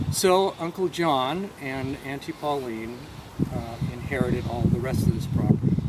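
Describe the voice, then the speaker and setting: Over noticeable background noise and audible room echo, a man speaks at a fairly slow pace. His voice is medium in pitch, with ordinary pitch variation. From Bainbridge Island, Washington, US. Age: 60s. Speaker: farm tour guide. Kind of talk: guided tour talk.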